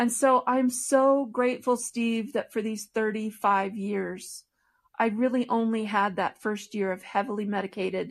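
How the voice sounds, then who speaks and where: With a normal speaking voice, a woman of fairly high pitch talks at a fairly slow pace and with fairly even intonation against a quiet background. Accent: American. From Michigan, US. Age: 50s. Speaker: blogger and podcast guest. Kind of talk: interview conversation.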